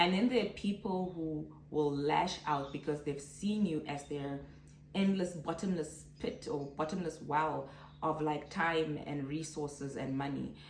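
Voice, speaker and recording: A woman with a very deep, low pitch talks at a fairly slow pace with ordinary pitch variation. Audible room echo and noticeable background noise fill the recording. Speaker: vlogger. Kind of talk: casual vlog monologue.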